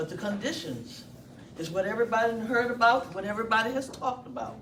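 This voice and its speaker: Words pour out at a very fast pace. Noticeable background noise is present throughout. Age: 60s. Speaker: former prisoner. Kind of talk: public testimony.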